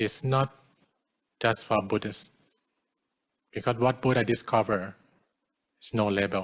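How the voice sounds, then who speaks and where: Fairly slow and fairly even in intonation, this voice has a Thai accent in a very clean recording with a silent background. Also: man. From Thailand. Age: 40s. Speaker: Buddhist monk. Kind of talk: dharma talk. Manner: halting.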